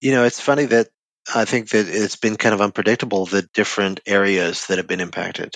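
This man has a fairly low pitch and talks very fast with fairly even intonation. The sound is dry and close, with no echo. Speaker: front-end developer. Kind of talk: casual chat. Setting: video call.

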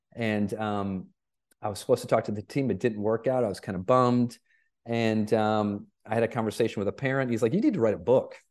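A man with an ordinary speaking voice talks at a fairly quick pace and a medium pitch. His intonation is fairly even, and the background is quiet. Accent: American. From Michigan. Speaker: keynote speaker and performance coach. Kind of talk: podcast interview.

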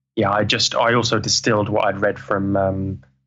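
This man's tone is bright and sharp, and he talks at a moderate pace. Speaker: traveling musician. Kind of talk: interview. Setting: video call. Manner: halting.

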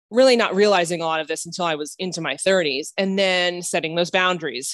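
A woman's medium-pitched speech, a plain, everyday voice with ordinary pitch variation, dry and close with no echo. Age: 30s. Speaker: life coach. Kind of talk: interview conversation.

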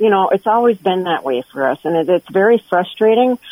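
A woman speaks at a medium pitch with an American accent. Her pitch varies in an ordinary way. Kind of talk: radio interview.

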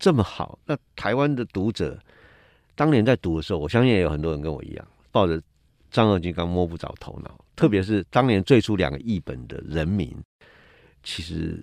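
Against a quiet background, a man speaks with very wide pitch swings and long, frequent pauses, the sound dry and close with no echo. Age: 60s. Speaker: cultural critic. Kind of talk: casual chat.

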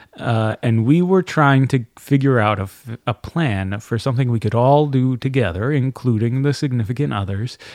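A man speaks in a plain, everyday voice at a medium pitch and a moderate pace. His pitch varies in an ordinary way, and the background is quiet. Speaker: voice actor and audiobook narrator. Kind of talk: casual chat.

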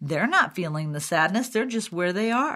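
An unremarkable speaking voice at a moderate pace in a very clean recording with a silent background. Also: woman. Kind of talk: solo educational talk.

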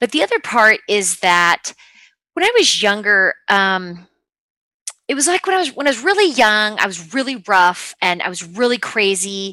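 In an American accent, a woman speaks with a fairly high pitch, lively intonation and a bright, sharp tone. The recording is dry and close, with no echo. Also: moderate pace. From Utah. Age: 30s. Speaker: athlete's wife and mother of five. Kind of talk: interview conversation.

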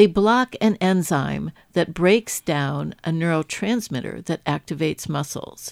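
A woman's fairly low, fry-edged voice, fairly slow with lively intonation, in a dry, close sound with no echo on a very clean recording with a silent background. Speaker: radio science show host. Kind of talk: interview and news presenting.

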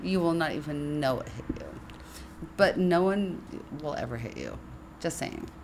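A woman with a very deep, low pitch talks in an animated tone at a moderate pace, with ordinary pitch variation, big swings in loudness and long, frequent pauses. Audible room echo and noticeable background noise surround her voice. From San Francisco. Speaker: podcast co-host, writer. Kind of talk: casual chat. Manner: animated, laughing often.

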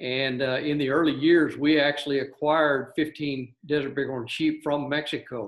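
With an American accent, the speaker talks at a moderate pace in a monotone, flat intonation with hardly any pauses. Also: man, fairly high pitch for a man. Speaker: wildlife conservation director. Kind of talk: casual interview. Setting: video call.

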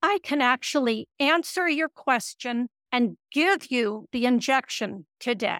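A woman's high-pitched voice at a very slow pace, with very even loudness. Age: 70s. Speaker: retired psychiatrist. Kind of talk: radio interview.

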